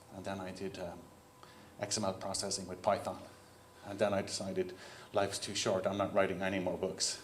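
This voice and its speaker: In an Irish accent, a man speaks at a fairly quick pace with a very deep, low pitch and monotone, flat intonation. Noticeable background noise and audible room echo fill the recording. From Ireland. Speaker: keynote speaker, software CTO. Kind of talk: conference keynote talk. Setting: stage with audience. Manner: casual, conversational.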